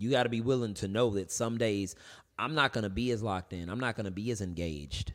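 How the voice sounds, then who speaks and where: This man talks at a very fast pace, his fairly low pitch moving with ordinary variation. The recording is very clean, with a silent background. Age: 30s. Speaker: artist. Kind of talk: casual chat.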